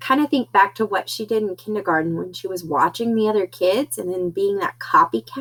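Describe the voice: Lively intonation in plain reading aloud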